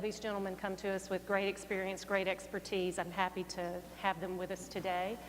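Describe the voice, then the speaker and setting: A woman with a medium pitch talks at a fairly quick pace in a monotone, flat intonation, with noticeable background noise. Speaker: panel moderator. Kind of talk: speaker introduction. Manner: soft-spoken.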